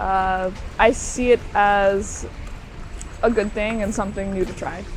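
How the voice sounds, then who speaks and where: A woman's medium-pitched, flat monotone voice with a Southern US accent at a fairly slow pace, amid audible room echo and noticeable background noise. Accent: American, US South. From Florida, US. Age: young. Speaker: student, interviewee. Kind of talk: casual interview. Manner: hesitant, many fillers.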